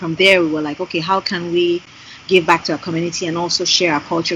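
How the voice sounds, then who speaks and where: A woman's fairly low voice in a Yoruba accent at a very fast pace, over noticeable background noise. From Nigeria. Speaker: singer and graphic designer. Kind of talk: interview conversation. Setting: Skype call. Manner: animated.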